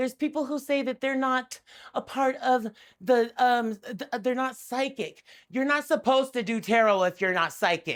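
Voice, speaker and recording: In a very clean recording with a silent background, a woman speaks loudly at a moderate pace, her high-pitched voice animated in tone with ordinary pitch variation. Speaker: tarot reader and spiritual advisor. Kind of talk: impassioned educational rant to camera. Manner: animated, aggressive-sounding.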